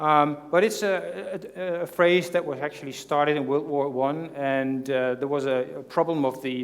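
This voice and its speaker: A man's fairly high voice at a moderate pace, fairly even in intonation, against noticeable background noise. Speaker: conference speaker. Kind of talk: conference presentation. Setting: stage with audience. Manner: hesitant, many fillers.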